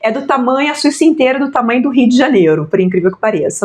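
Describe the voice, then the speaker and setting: A woman's fairly high voice with very wide pitch swings at a very fast pace, over noticeable background noise. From Brazil. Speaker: language school owner, journalist. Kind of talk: interview conversation.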